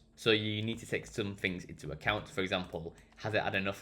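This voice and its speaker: The speaker talks at a fairly quick pace with a Yorkshire accent. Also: man. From Barnsley, South Yorkshire, England. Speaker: digital marketing consultant. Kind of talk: screen-share tutorial talk. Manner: casual, with frequent fillers.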